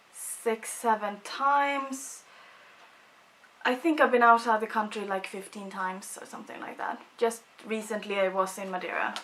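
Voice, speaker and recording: Over noticeable background noise, a woman with a Swedish accent speaks at a moderate pace and fairly high pitch, her loudness swinging widely. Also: ordinary pitch variation. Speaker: beauty vlogger. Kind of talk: casual chat.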